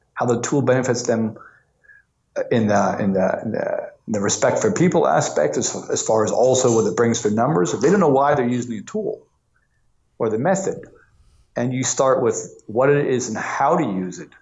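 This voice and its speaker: A man's moderate-paced speech carries audible room echo. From US Northeast, New York. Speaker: lean coach. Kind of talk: interview. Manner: halting, with many restarts.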